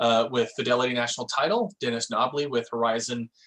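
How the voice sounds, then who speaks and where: Fairly even intonation runs through a man's medium-pitched speech. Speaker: real estate office manager. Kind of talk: office meeting announcements. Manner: fast.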